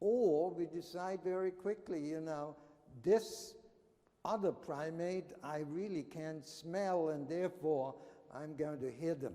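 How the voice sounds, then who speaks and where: This man has a high pitch, a dark, mellow tone, and a non-native accent. His pace is very slow, with ordinary pitch variation. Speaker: anthropology professor. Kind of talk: conference talk.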